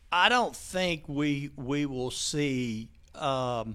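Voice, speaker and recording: His pitch varies in an ordinary way as the man talks. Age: 60s. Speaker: county mayor. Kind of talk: interview. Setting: studio.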